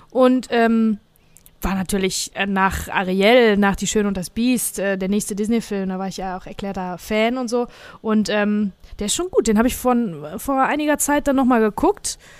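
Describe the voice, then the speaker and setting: With a normal speaking voice, a woman talks at a moderate pace, her fairly high pitch showing ordinary variation on a very clean recording with a silent background. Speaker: podcast host. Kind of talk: casual chat.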